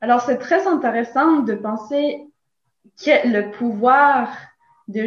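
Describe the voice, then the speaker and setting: A woman with a high pitch and a slight Latin American accent talks at a very slow pace with ordinary pitch variation. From Nicaragua. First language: Spanish (speaking French). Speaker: philosophy teacher. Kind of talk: interview.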